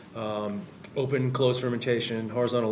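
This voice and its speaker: Against noticeable background noise, a man with an American accent speaks at a fairly quick pace, a medium pitch, and monotone, flat intonation. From Massachusetts, Salem area. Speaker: brewery owner and brewer. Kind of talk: casual chat. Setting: brewery tap room, remote mic.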